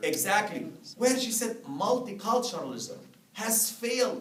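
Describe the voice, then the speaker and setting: Someone with a non-native accent talks in an animated tone while noticeable background noise runs underneath. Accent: foreign. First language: not English. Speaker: professor. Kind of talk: lecture. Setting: classroom.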